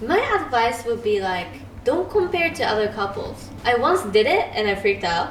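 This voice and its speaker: A woman with a non-native accent speaks with very wide pitch swings. The recording has audible room echo and noticeable background noise. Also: fairly high pitch for a woman, moderate pace. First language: not English. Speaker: YouTube channel co-host. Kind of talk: casual chat.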